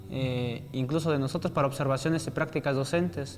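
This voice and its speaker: Over noticeable background noise, a man speaks in a fairly high voice. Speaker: student at a rural teacher-training college, attack survivor. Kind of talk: interview testimony.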